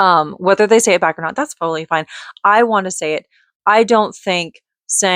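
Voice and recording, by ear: A quiet background behind reading aloud in a natural voice, pitch varying in an ordinary way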